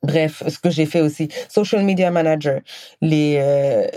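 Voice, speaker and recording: A woman's dark, mellow voice, very deep and low in pitch, with ordinary pitch variation and a fairly slow pace. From Senegal. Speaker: podcast host. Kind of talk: personal monologue.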